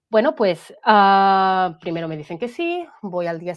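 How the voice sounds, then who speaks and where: A woman's fairly low voice with a Catalan accent. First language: Catalan (speaking Spanish). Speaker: guest sharing mental health testimony. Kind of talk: testimony.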